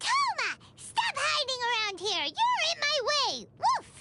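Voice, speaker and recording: Doing a put-on character voice, a woman speaks at a fairly slow pace. It is squeaky and pitched extremely high. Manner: bossy, barking, energetic.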